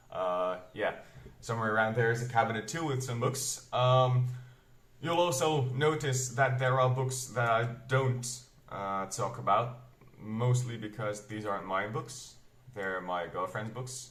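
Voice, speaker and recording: There is audible room echo as a man speaks at a fairly slow pace. His pitch is medium, with ordinary variation. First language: Flemish Dutch dialect. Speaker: booktuber, metal reviewer. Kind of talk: casual vlog talk. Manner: hesitant, many fillers.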